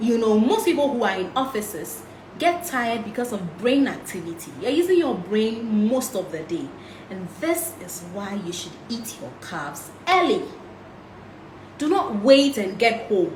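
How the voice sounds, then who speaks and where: With audible room echo and noticeable background noise, a woman speaks at a fairly high pitch, her voice making very wide pitch swings and big swings in loudness. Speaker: health and nutrition talk host. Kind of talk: live-streamed health talk. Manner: fast.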